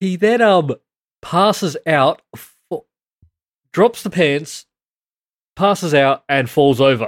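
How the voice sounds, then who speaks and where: Using a very slow pace and long, frequent pauses, a man speaks with an Australian accent. His high-pitched voice has lively intonation. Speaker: podcast co-host. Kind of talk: casual chat.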